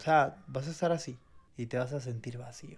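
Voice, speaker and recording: The voice is somewhat breathy, with ordinary pitch variation. Delivery comes at a moderate pace. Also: man. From Venezuela. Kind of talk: faith podcast conversation, testimony.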